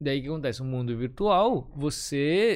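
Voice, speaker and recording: A man speaks at a moderate pace with a plain, everyday voice, lively intonation and a fairly high pitch against a quiet background. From Florianópolis, southern Brazil. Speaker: advertising photographer. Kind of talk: casual chat.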